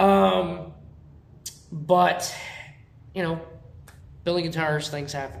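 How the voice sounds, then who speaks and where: Loud and lively, a man with a fairly high pitch speaks at a moderate pace amid audible room echo. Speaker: guitar builder and video host. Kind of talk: casual workshop show-and-tell.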